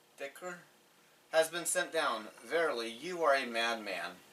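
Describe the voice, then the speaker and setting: With ordinary pitch variation, a man talks very slowly while noticeable background noise fills the clip. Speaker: scripture reader and commentator. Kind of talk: reading aloud. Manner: measured reading pace.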